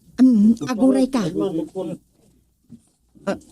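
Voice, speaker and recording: This is a put-on character voice. The pitch sits fairly high. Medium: audio drama. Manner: exclaiming, laughing.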